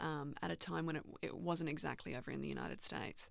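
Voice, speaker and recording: A woman's bright, sharp voice with an Australian accent and vocal fry, on a very clean recording with a silent background. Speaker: journalist, co-host. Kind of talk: interview.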